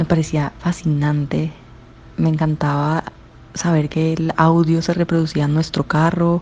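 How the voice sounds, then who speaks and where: A woman talks in a Cali accent with a very deep, low pitch and monotone, flat intonation. Her pace is fairly slow, with noticeable background noise. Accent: Caleño Colombian Spanish. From Colombia, Cali. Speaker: interviewee sharing memories. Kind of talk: personal recollection.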